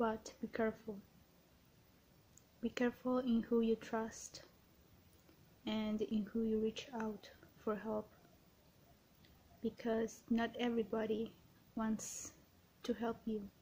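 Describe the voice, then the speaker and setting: The speaker is soft-spoken with a gentle tone and a monotone, flat intonation. Delivery is at a very slow pace with long, frequent pauses. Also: woman, fairly high pitch for a woman. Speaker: ASMR creator. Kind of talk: ASMR positive affirmations, personal attention. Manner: soft-spoken, gentle. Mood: gentle, reassuring. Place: home room. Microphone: webcam.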